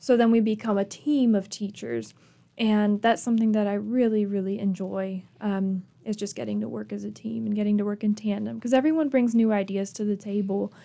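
The voice has a dark, mellow tone and an American accent. It moves at a fairly quick pace with fairly even intonation. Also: woman, medium pitch for a woman. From Michigan. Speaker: museum curator. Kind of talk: radio interview.

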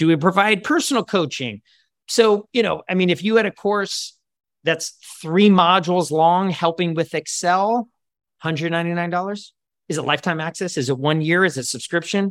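Here a man talks in a high pitch at a moderate pace, with ordinary pitch variation. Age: 40s. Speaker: career coach, former lawyer. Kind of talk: group coaching discussion. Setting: video call.

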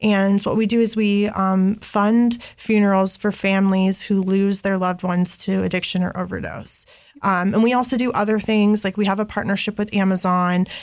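Speaking with an American accent at a moderate pace, a woman keeps a medium pitch and hardly any pauses. Her intonation is monotone and flat, and her loudness stays very even. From Columbus, Ohio. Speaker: person in addiction recovery, nonprofit worker. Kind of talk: testimony.

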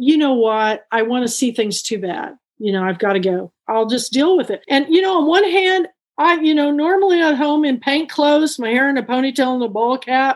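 Lively intonation at a moderate pace, with a Texan accent. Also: woman, high pitch for a woman. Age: 60s. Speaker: bookstore owner and book club founder. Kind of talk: interview. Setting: video call.

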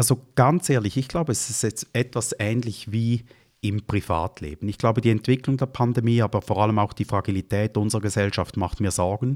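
A man talks fairly quickly at a medium pitch with ordinary pitch variation, a normal speaking voice. The sound is dry and close with no echo, in a very clean recording with a silent background. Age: 50s. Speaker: finance executive. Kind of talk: interview.

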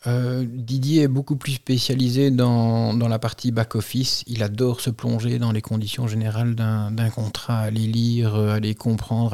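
The voice has a dark, mellow tone and monotone, flat intonation. It moves at a moderate pace with hardly any pauses. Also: man. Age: 40s. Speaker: insurance broker and business owner. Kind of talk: interview.

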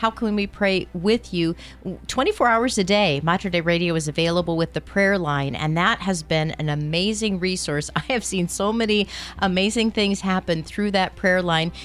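A woman with a fairly low pitch and ordinary pitch variation sounds upbeat and enthusiastic, keeping a moderate pace and very even loudness. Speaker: radio host. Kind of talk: fundraising radio pledge drive. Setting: radio studio. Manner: upbeat, enthusiastic.

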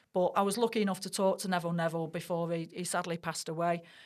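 A woman in a Mancunian accent, fairly low in pitch, with fairly even intonation and a quiet background. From Manchester, Middleton. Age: 40s. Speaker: sports broadcaster. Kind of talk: casual chat.

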